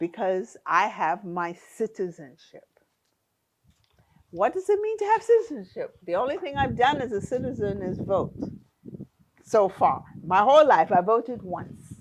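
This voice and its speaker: A woman with a New York accent, fairly high in pitch, with very wide pitch swings, a moderate pace and long, frequent pauses. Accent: New York American. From US, New York (Bronx). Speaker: diaspora returnee. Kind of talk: interview conversation.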